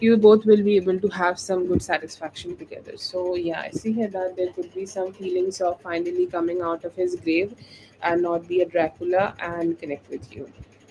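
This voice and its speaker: A woman speaks with a Bengali accent at a medium pitch. Her pace is moderate and her intonation fairly even. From India, West Bengal. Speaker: tarot reader. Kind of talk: live-stream tarot reading; casual chat. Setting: live stream.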